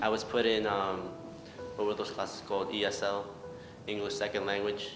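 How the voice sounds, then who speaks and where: Someone with an American accent speaks at a very fast pace amid noticeable background noise and audible room echo. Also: man. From Mexico, raised in US from early childhood. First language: Spanish. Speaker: interviewee, immigrant. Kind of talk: interview testimony.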